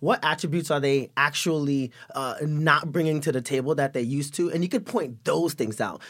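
A man with an American accent has an ordinary speaking voice, fairly high in pitch with ordinary pitch variation. He moves at a fairly quick pace with hardly any pauses. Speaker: actor. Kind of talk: casual chat.

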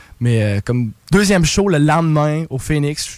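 A man is speaking. His voice is fairly high in pitch. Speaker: bar singer-guitarist. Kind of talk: casual chat. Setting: radio studio. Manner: animated.

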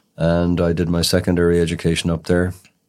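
Very deep, low voice of a man with a Cork accent at a fairly quick pace, in a very clean recording with a silent background. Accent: Cork Irish. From Cork city, Ireland. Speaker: criminal defence solicitor. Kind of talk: interview. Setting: studio.

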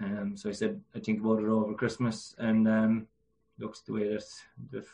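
Talking at a fairly quick pace, a man with a Cork accent has a dark, mellow, fairly low voice and monotone, flat intonation. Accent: Cork Irish. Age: 20s. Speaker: GAA club chairperson and player. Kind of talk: casual interview. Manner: hesitant, many fillers.

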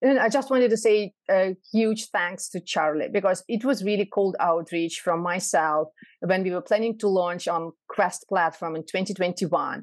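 A woman's normal speaking voice at medium pitch and a moderate pace, with ordinary pitch variation, hardly any pauses and a quiet background. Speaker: startup founder and CEO. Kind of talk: casual interview.

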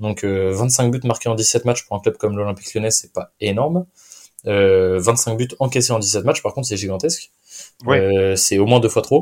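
Medium pitch, ordinary pitch variation and a moderate pace from a man with an unremarkable speaking voice. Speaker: football podcast host. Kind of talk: casual chat.

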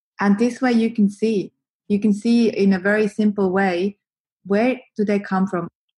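Somewhat breathy and dark, mellow in tone, a woman speaks with a Swiss accent at a moderate pace and medium pitch, in a monotone, flat intonation with very even loudness. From Switzerland. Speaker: marketing agency co-founder. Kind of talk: interview, explaining marketing advice.

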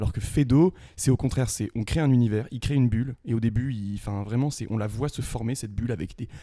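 A dark, mellow tone with ordinary pitch variation. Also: man, medium pitch for a man. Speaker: student actor, theatre club member. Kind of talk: casual interview.

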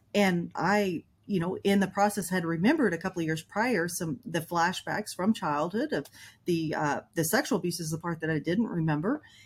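Somewhat breathy, a woman speaks at a moderate pace in a fairly low pitch with ordinary pitch variation. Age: 50s. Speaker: trauma coach. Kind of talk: interview.

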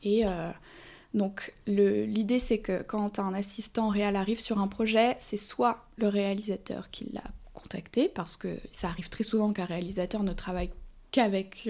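A woman's dark, mellow voice at medium pitch, fairly slow and fairly even in intonation, with long, frequent pauses. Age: 20s. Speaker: film assistant director. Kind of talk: casual interview.

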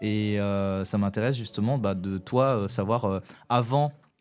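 Over music in the background, the speaker's intonation stays fairly even. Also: man. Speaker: podcast host. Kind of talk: casual chat. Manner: informal, halting, colloquial.

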